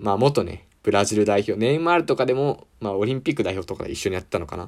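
The man rattles along at a very fast pace, his intonation lively. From Japan, Ibaraki. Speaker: university student podcaster. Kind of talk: casual solo sports talk. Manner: animated.

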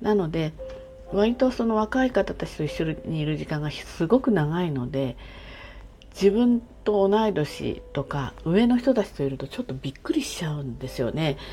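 A woman's medium-pitched, somewhat breathy voice with very wide pitch swings, at a moderate pace. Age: 60s. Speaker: podcaster. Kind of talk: casual solo monologue. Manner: chatty, friendly.

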